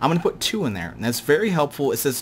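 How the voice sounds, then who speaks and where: The man's speech moves along at a fairly quick pace. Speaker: gaming youtuber. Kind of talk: gameplay tutorial commentary. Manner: fast; casual with fillers.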